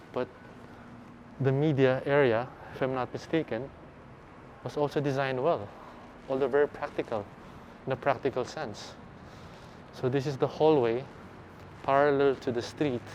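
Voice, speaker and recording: With light background noise, a man talks at a moderate pace in a medium, monotone voice with flat intonation, leaving long, frequent pauses. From Philippines. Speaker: architecture vlogger; architecture walking tour guide. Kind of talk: walking tour vlog commentary. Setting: walking around campus outdoors and indoors. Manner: casual, hesitant with fillers. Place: street. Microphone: phone near.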